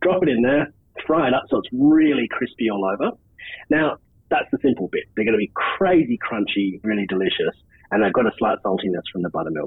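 With an Australian accent, a man talks at a fairly quick pace in a medium pitch, his voice making very wide pitch swings. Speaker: camp cook. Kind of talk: tutorial.

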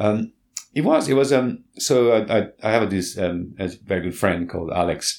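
At a moderate pace, a man speaks in a fairly low voice with ordinary pitch variation. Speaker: founder of a lifestyle brand. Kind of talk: casual chat. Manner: animated, loud.

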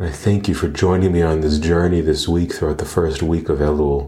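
The man's voice is very deep and low, with a warm, calm tone. It is somewhat breathy, and his intonation stays fairly even. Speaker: meditation guide podcast host. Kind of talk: guided meditation. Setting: live Zoom gathering, recorded. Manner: calm, gentle, slow-paced, soothing; warm, addressing listeners as dear friends.

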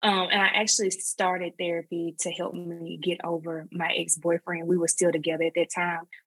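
A woman with an Alabama accent, fairly low pitch, monotone, flat intonation and a fairly quick pace in a dry, close sound with no echo. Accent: Southern US (Alabama). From US South, northwest Alabama. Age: 30s. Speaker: online creator. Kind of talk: personal story in interview. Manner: hesitant, many fillers.

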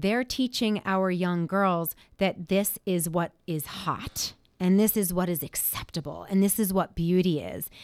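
A normal speaking voice from a woman at medium pitch, in a very clean recording with a silent background. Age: 40s. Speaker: radio host. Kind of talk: radio talk show. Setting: studio.

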